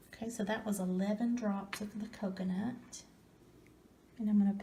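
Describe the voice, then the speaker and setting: Soft-spoken and somewhat breathy, a woman of medium pitch talks at a moderate pace in a dark, mellow tone with flat, monotone intonation. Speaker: ASMR crafter. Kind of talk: ASMR craft tutorial.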